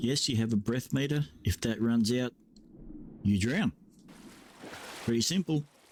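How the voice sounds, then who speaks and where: A man with an Australian accent and a medium-pitched voice, relaxed in tone, with lively intonation, very even loudness, a fairly slow pace, and long, frequent pauses. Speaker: video game streamer. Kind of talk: gameplay commentary. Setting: at computer with headset. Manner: casual, relaxed.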